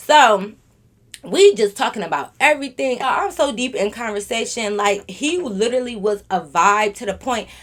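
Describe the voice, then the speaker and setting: Lively intonation marks this woman's fairly high voice, heard over noticeable background noise. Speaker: YouTuber storyteller. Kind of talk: casual storytime monologue. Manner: fast; loud.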